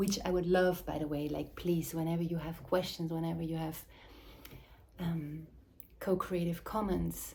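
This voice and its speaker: This woman has a non-native accent and a dark, mellow, somewhat breathy tone. Her fairly low voice stays monotone and flat. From Switzerland. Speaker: mothering and embodiment facilitator, former dancer. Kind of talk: reflective monologue to camera. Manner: halting.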